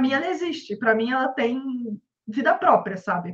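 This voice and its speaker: In a Rio de Janeiro accent, a woman speaks at a fairly quick pace with a high pitch. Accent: carioca. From Rio de Janeiro, Brazil. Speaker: comic book artist. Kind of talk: casual interview.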